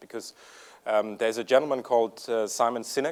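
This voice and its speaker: A man with a slight German accent, medium-pitched, speaking at a fairly quick pace with ordinary pitch variation. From Germany. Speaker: software company executive. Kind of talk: conference presentation. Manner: hesitant, many fillers.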